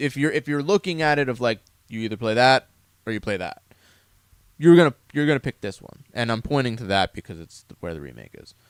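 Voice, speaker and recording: At a fairly quick pace, a man talks in a medium pitch. His voice makes very wide pitch swings and big swings in loudness. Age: 30s. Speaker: gaming podcast co-host. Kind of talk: casual chat.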